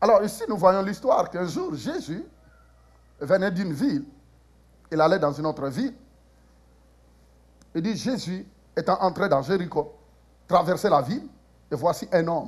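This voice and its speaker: Speaking at a moderate pace with lively intonation, a man leaves long, frequent pauses. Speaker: preacher. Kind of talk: sermon. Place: church.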